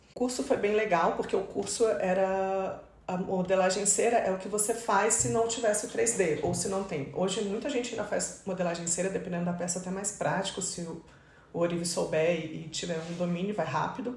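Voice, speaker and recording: Speaking at a fairly quick pace, a woman with a medium pitch and ordinary pitch variation is heard over noticeable background noise and audible room echo. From Brazil, Mato Grosso do Sul. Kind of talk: interview conversation.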